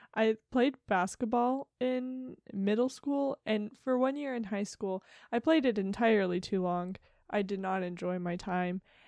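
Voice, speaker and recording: In a plain, everyday voice with an American accent, a woman speaks at a fairly slow pace, her medium pitch showing ordinary pitch variation. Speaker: podcast co-host. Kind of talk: casual chat.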